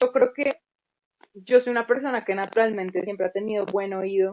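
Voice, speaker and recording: This is an unremarkable speaking voice with ordinary pitch variation. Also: woman. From Colombia. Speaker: music teacher and content creator. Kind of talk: casual interview.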